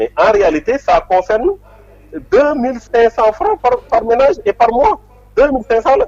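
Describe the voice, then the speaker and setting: Recorded dry and close with no echo, a man with an extremely high pitch and very wide pitch swings speaks at a fairly slow pace with long, frequent pauses. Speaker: politician. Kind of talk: interview.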